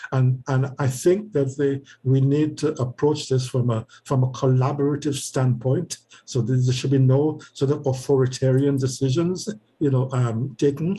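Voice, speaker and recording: The voice has a dark, mellow tone and is somewhat breathy. Its pace is moderate, with fairly even intonation and very even loudness. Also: man, medium pitch for a man. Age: 80s+. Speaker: retired professor and community advocate. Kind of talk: interview. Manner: halting, many repetitions and fillers.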